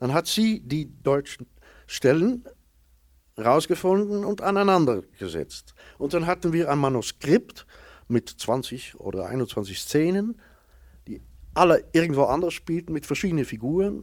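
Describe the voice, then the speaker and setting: Heard in a very clean recording with a silent background, a man with a fairly high pitch talks at a fairly slow pace, with very wide pitch swings and long, frequent pauses. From Netherlands. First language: Dutch (speaking German). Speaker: actor and storyteller. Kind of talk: interview before live audience. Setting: stage with audience.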